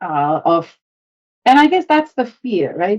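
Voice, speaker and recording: A woman with a non-native accent speaks at a fairly slow pace, her pitch swinging very widely. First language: Bengali. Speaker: home cook. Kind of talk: podcast interview.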